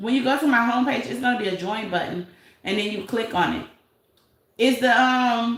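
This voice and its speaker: This woman talks in a Detroit accent at a high pitch, keeping a moderate pace and ordinary pitch variation. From Detroit, US. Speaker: YouTube commentary livestreamer. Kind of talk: casual live-stream commentary.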